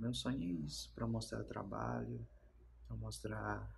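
This man has a very deep, low voice with vocal fry. He talks at a fairly slow pace over light background noise. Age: 30s. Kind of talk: interview answers. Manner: halting, with many fillers. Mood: calm, earnest. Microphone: phone near.

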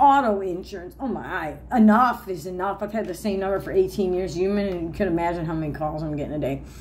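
A woman speaks at a fairly quick pace, with ordinary pitch variation and light noise in the background. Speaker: denture wearer vlogger. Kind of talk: casual vlog chat. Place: home room. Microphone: phone near.

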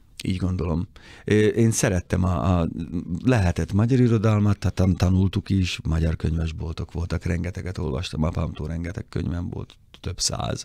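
This man's very deep, low voice has a dark, mellow tone, ordinary pitch variation and a moderate pace, with a dry sound with no echo and a quiet background. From Hungary. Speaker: motoring journalist. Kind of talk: casual chat. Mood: reflective, calm. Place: studio. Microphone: studio mic.

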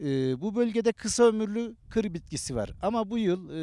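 Dry with no echo, the voice has a dark, mellow tone and lively intonation. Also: man. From Turkey. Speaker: beekeeper and honey trader. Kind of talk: interview answers. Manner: hesitant, many fillers. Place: open country. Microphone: handheld.

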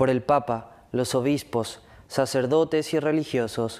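A man with a slightly mellow tone, medium pitch, ordinary pitch variation and a fairly slow pace

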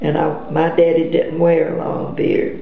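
A woman with an American accent speaks at a fairly slow pace. Audible room echo and light background noise accompany her. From Georgia, USA. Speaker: grandmother interviewee. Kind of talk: interview answer. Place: home room.

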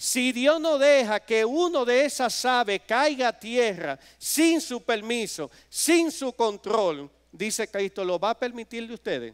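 Against a quiet background, a man with an extremely high pitch talks at a very slow pace with lively intonation. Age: 50s. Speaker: preacher. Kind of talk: sermon. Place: church. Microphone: podium.

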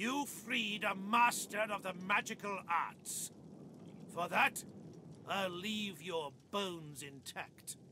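In a gruff, put-on character voice, the speaker goes at a very slow pace with long, frequent pauses over clear background noise. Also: man, high pitch for a man. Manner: gruff, harrumphing, pompous.

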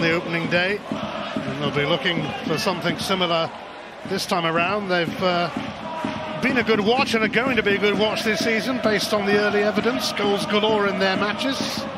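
Sounding excited, a man with a high pitch speaks at a moderate pace with ordinary pitch variation and very even loudness, over noticeable background noise. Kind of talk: live football play-by-play commentary. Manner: brisk, excited, tone rising on chances and goals.

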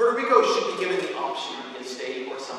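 In strong room echo with light background noise, a man speaks at a very fast pace. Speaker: journalist. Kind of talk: lecture talk. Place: hall.

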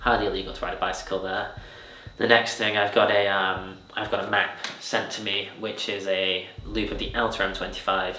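The man talks at a moderate speed, and the room's echo is audible around his words. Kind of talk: interview answer. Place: home room.

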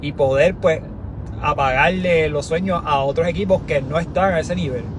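A man's voice with ordinary pitch variation, a dry sound with no echo, and noticeable background noise. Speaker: sports podcast host. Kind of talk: casual sports commentary. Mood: frustrated, analytical. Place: car. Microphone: phone near.

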